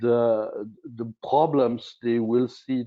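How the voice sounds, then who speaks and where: A man speaks with a non-native accent. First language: not English. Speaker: corporate sustainability executive. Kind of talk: panel discussion. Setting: virtual conference. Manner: halting.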